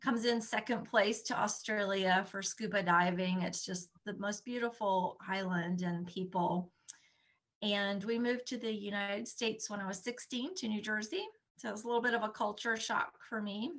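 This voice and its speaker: A woman with a Southern US accent talks at a moderate pace, her fairly high voice carrying fairly even intonation. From Bonaire, Caribbean (American parents). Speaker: slow-living advocate. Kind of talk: interview, personal story. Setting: podcast interview.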